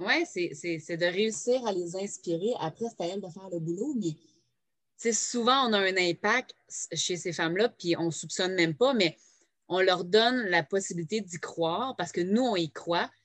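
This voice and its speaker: A woman with a Quebec accent at a moderate pace. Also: medium pitch for a woman, ordinary pitch variation. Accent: Québécois French. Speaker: podcast host, direct sales entrepreneur. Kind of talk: casual interview. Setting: home, no editing.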